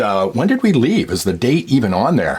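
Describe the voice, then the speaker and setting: With a Canadian accent, a man talks at a fairly quick pace with very wide pitch swings over noticeable background noise. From Canada, Ontario (Sarnia). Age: 50s. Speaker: vlogger sharing sports memories. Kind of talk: casual reminiscing monologue.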